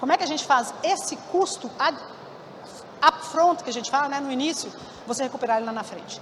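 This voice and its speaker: With noticeable background noise, a woman talks in a high pitch with lively intonation. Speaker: keynote speaker at a conference. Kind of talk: conference keynote talk. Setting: stage with audience. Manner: fast; halting, many self-corrections.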